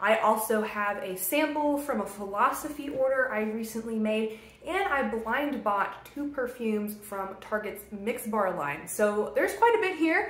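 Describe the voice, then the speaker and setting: In a room with audible echo, a woman talks at a fairly slow pace. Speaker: beauty vlogger. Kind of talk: casual vlog chat.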